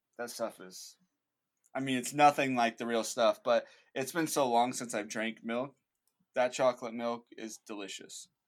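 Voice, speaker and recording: With an ordinary speaking voice, a man talks at medium pitch with fairly even intonation and big swings in loudness. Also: moderate pace. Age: 20s. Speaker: founder of an outdoor faith video channel. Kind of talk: casual interview chat.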